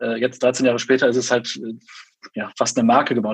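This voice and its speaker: This man's medium-pitched voice moves at a very fast pace. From Germany, Bonn (Rhineland). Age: 20s. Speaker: event agency owner. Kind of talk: interview. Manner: animated.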